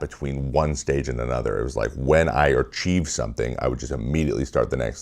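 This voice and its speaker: With an American accent, a man talks at a very fast pace and fairly even intonation over noticeable background noise. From US Pacific Northwest, Washington state. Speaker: former pro baseball pitcher, video essayist. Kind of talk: video essay monologue. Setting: home office studio.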